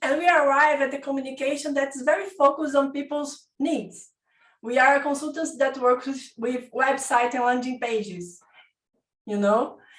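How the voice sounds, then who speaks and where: A woman with a Portuguese accent speaks at a moderate pace in a high voice. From Brazil. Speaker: design consultant, participant. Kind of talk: audience question. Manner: halting.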